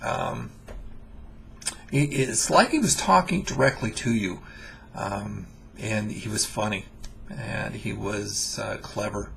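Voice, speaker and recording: Very slow male speech broken by long, frequent pauses. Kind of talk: casual spoken introduction to viewers.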